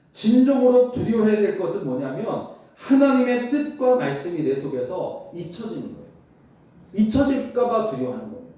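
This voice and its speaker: Noticeable background noise and audible room echo surround a man speaking at a moderate pace in a high pitch with very wide pitch swings. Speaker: pastor. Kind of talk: sermon.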